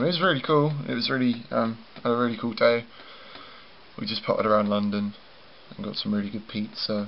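A man at a very fast pace with ordinary pitch variation. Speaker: vlogger. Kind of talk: casual vlog chat. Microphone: phone near.

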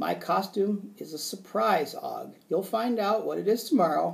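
A man's squeaky, high put-on character voice at a moderate pace. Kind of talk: read-aloud storytelling.

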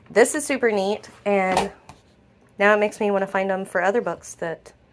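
A woman speaks at a moderate pace. There is light background noise behind her. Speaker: family vlogger. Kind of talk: casual vlog chat. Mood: grateful, cheerful. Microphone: phone near.

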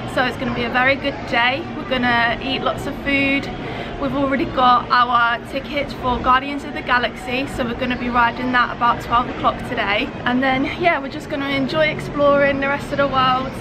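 Music plays in the background as a woman speaks in a raised, projected voice. She moves at a fairly quick pace with hardly any pauses. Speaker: travel vlogger. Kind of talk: casual vlog chat. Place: street. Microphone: phone near.

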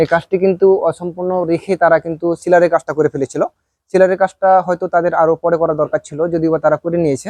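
A man speaks with a high pitch and monotone, flat intonation. The sound is dry and close, with no echo. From Bangladesh, Rajshahi. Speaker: construction contractor and vlogger. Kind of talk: casual site-tour vlog.

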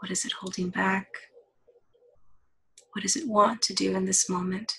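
A woman's medium-pitched, an ordinary speaking voice, with ordinary pitch variation. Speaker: counselor. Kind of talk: guided body-scan meditation. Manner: slow, soft-spoken.

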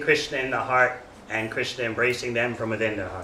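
A man is speaking here. Audible room echo surrounds his voice. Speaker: religious lecturer. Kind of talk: sermon. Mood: warm, smiling. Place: church.

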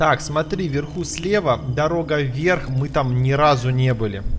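A man's medium-pitched voice at a moderate pace, against noticeable background noise. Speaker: gaming YouTuber. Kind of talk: let's play commentary. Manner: animated.

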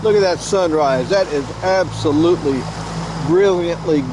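Moderate pace, dry sound with no echo, and noticeable background noise. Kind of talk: casual vlog chat. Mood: cheerful, joking. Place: boat. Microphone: helmet.

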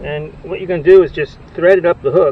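Speaking at a fast pace, a man uses a fairly high pitch. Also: ordinary pitch variation.

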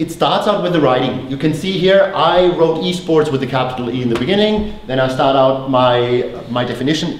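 A man talks with a German accent and lively intonation. Light background noise and audible room echo are present. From Germany. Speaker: company founder and former teacher. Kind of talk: conference presentation. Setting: stage with audience.

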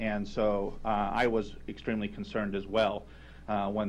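A man speaks with vocal fry. Light background noise can be heard. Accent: American. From US Midwest. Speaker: foundation chairman; public commenter at county board. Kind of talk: public testimony. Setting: council chamber. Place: hall. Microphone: podium.

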